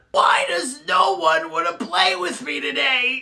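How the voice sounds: A raspy, middle-pitched, put-on character voice, shouting at a fairly slow pace.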